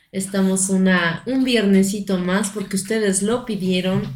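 A woman talks fairly slowly, and the room around her gives off an audible echo. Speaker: podcast host. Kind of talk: casual chat.

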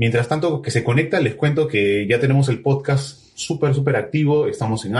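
A man talks at a fairly quick pace. His voice is somewhat breathy, with ordinary pitch variation. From Peru, Trujillo. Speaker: podcast host and musician. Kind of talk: casual interview over live video stream.

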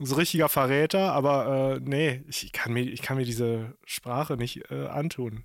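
Medium in pitch, a man talks at a fairly slow pace. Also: hardly any pauses. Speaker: podcast host. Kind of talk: casual chat. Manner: animated.

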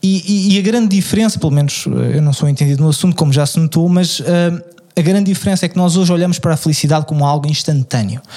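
A man at a very fast pace and fairly high pitch, ordinary pitch variation, amid noticeable background noise. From Lisbon, Portugal. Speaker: podcast co-host. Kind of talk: casual chat.

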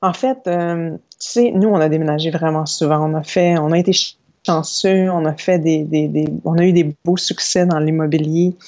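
A plain, everyday voice speaks at a fairly slow pace with fairly even intonation. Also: woman, fairly low pitch for a woman. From Quebec, Saguenay. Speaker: yoga teacher and entrepreneur. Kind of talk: interview. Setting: remote recording.

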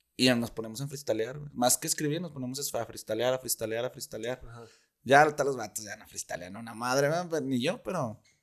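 Fairly quick male speech with a Mexican accent, big swings in loudness and ordinary pitch variation against a quiet background. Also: medium pitch for a man. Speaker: rapper. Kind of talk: casual chat.

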